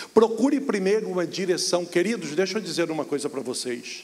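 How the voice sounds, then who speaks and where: Lively intonation from a man, with audible room echo and noticeable background noise. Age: 60s. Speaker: pastor. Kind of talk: sermon. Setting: church.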